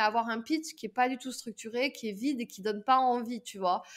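At a moderate pace, a woman speaks in a high pitch with fairly even intonation over a quiet background. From southern France. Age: 30s. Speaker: pitch and public speaking coach; public speaking coach. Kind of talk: podcast interview. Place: home room. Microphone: webcam.

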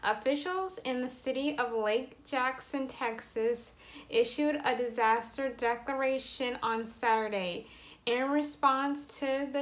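A woman talks at a very slow pace. Her voice is high, with fairly even intonation. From Atlanta, Georgia. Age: 20s. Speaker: aspiring TV host and journalist. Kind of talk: news report read. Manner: business professional.

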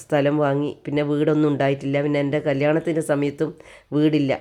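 The woman's pitch is very deep and low. Her voice carries a dark, mellow tone. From Kannur, Kerala. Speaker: lifestyle vlogger. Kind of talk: personal testimony monologue.

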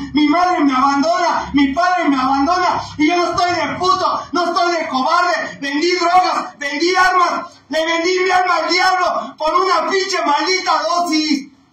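A man's extremely high, raised and projected voice at a fairly slow pace, hardly any pauses, audible room echo. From Mexico. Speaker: recovery group sponsor. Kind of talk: talk at a recovery group meeting. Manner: animated. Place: meeting room. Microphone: phone near.

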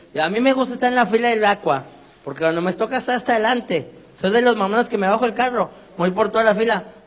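Through noticeable background noise, a man speaks at a very fast pace with a high pitch and ordinary pitch variation. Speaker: comedian. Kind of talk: stand-up. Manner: animated.

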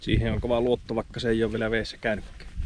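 A man at a moderate pace, dry sound with no echo, and noticeable background noise. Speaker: angler vlogger. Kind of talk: casual vlog chat. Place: waterside. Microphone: phone near.

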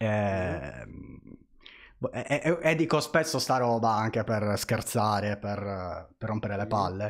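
A man with a fairly low pitch talks at a very slow pace, leaving long, frequent pauses. His intonation is lively, and the background is quiet. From Italy. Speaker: streamer. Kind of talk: casual interview. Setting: live stream. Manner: halting. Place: home room. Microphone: studio mic.

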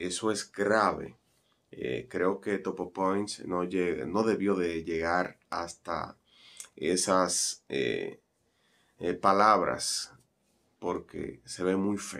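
With a Dominican accent and a bright, sharp tone, the speaker talks very slowly with long, frequent pauses and fairly even intonation. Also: man, very deep, low pitch for a man. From Dominican Republic. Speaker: broadcaster and commentator. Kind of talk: news commentary to camera. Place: home room.

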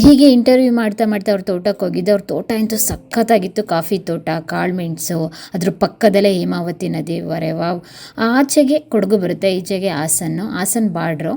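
A woman's medium-pitched voice with a dark, mellow tone and lively intonation. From Karnataka, Malnad (Hassan area). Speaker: vlogger and interviewer. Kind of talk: vlog narration; casual chat.

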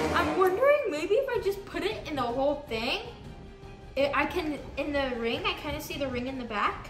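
A woman talks at a moderate pace over loud music in the background. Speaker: home video challenge host. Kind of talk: casual vlog chat. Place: kitchen. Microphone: camera far.

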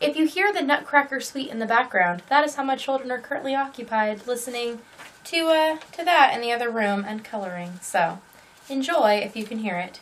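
A woman's high-pitched voice, fairly quick in pace, with lively intonation. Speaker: crochet podcaster. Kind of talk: casual vlog chat. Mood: cheerful, playful. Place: home room.

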